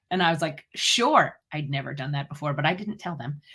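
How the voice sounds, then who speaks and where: A woman talks loudly at a very fast pace with a bright, sharp tone. The recording is very clean, with a silent background. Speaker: dental hygienist and speaker. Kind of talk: interview.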